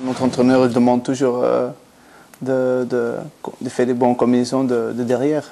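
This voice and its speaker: Amid noticeable background noise, a man of medium pitch talks at a moderate pace in a monotone, flat intonation with long, frequent pauses. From Belgium, Antwerp. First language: Flemish (Dutch) (speaking French). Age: 20s. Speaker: professional footballer. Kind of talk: interview. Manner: halting.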